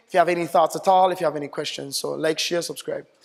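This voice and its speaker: This man's voice sits high in pitch. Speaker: photographer answering viewer questions. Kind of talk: video tutorial.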